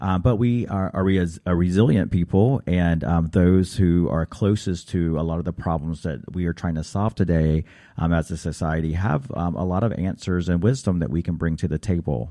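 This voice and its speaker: A man with an American accent speaks at a moderate pace with hardly any pauses, his very deep, low voice dark and mellow with ordinary pitch variation. The recording is very clean, with a silent background. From US South, North Carolina. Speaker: philanthropy expert and author. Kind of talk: interview. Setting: studio. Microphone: too far from the mic.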